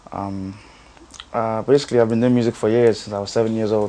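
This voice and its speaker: Against noticeable background noise, a man speaks in a fairly low, monotone voice with flat intonation. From Nigeria, then North London from about age ten. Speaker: singer. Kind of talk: interview. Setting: in Dublin. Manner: halting, many fillers.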